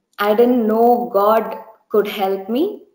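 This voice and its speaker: There is audible room echo over a quiet background as a woman with an Indian accent speaks at a fairly high pitch. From India, Bangalore. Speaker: church member giving testimony. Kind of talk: testimony. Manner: hesitant, many fillers. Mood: earnest, gentle, reflective. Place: home room. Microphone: webcam.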